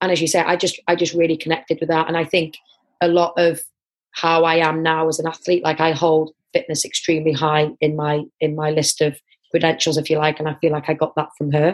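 This woman speaks in a North Welsh accent at a fairly quick pace. Her very deep, low pitch stays monotone, with flat intonation. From North Wales, Wrexham area. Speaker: international netball and football player. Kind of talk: interview.

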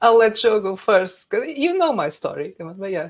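A woman with a normal speaking voice uses lively intonation, keeping to a moderate pace. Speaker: YouTuber and writer. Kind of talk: casual chat. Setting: video call.

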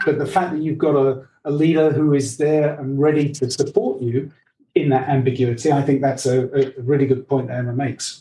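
A dark, mellow, somewhat breathy voice speaks with an English accent. The pace is fairly quick and the intonation monotone and flat. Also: man, fairly high pitch for a man. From England. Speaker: leadership coach. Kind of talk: interview.

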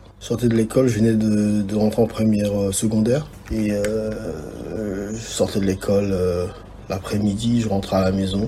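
Fairly low, monotone male voice with flat intonation at a moderate pace, with audible room echo. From DR Congo (Kinshasa), moved to Austria at 12. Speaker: videographer and photographer. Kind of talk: interview. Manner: halting, repeats words.

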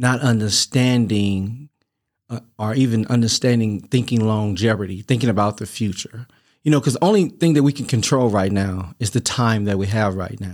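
A man's normal speaking voice at medium pitch, ordinary pitch variation, and a moderate pace on a very clean recording with a silent background. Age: 50s. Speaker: returning podcast guest. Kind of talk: casual interview chat.

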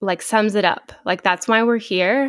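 A woman with an American accent and ordinary pitch variation, on a very clean recording with a silent background. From Texas Panhandle, small town. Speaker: podcast co-host, physical therapist assistant. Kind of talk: casual chat.

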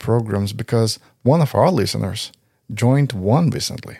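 Recorded very cleanly against a silent background, a man with a Portuguese accent speaks at medium pitch. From Brazil. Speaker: podcast host. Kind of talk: casual podcast conversation.

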